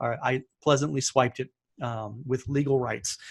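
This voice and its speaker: The man's voice is somewhat breathy. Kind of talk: webinar presentation. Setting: live webinar with screen share. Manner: fast; animated.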